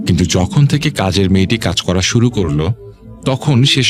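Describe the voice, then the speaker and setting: With music in the background, a man speaks at a fairly low pitch that swings very widely. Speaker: radio horror show host. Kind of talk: radio horror story narration.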